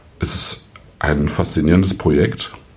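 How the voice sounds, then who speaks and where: A man with a very deep, low voice is heard over noticeable background noise and audible room echo. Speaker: wine podcast host. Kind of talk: solo wine review monologue. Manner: hesitant with frequent fillers.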